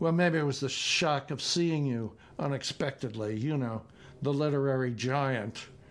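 With ordinary pitch variation, the words are read aloud in a natural voice.

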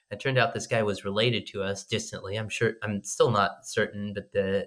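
The voice speaks in an American accent with a bright, sharp tone. The pace is fairly quick and the intonation is flat and monotone. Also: man. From US, southern Oregon coast. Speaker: company executive. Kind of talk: interview answers. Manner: hesitant, with fillers.

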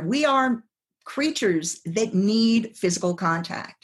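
A somewhat breathy voice moves at a fairly slow pace with very wide pitch swings. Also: woman. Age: 50s. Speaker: psychologist and sex coach. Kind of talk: casual chat.

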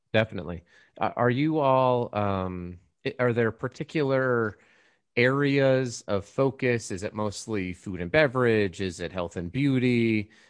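At a fairly slow pace, a man with a plain, everyday voice speaks at medium pitch. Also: ordinary pitch variation, quiet background. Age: 40s. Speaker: podcast host. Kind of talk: casual interview.

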